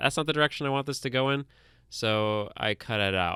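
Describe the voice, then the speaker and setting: On a very clean recording with a silent background, a man's bright, sharp tone has a dry, close sound with no echo. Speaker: podcast co-host and editor. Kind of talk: casual chat. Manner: faster than usual; deadpan.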